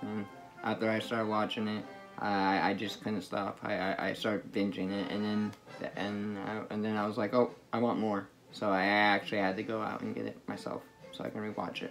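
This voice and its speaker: A man's fairly low, monotone, flat voice at a fairly quick pace, with faint music in the background. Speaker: anime reviewer. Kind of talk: casual vlog chat. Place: home room. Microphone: phone near.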